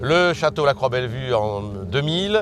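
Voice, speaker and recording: A man speaks with music in the background. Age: 60s. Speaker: winegrower. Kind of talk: interview testimony. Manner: hesitant, many fillers.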